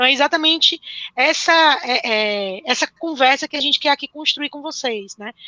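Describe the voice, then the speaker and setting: A woman's high-pitched voice at a moderate pace, with ordinary pitch variation and big swings in loudness. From northeastern Brazil (born in Pernambuco). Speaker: teacher. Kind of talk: live-stream interview.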